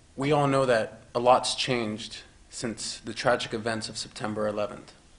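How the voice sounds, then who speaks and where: Over noticeable background noise, a man with an American accent speaks at medium pitch and a moderate pace in a monotone, flat intonation. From US (raised in America, Iraqi parents). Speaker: police officer. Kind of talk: prepared speech at community forum.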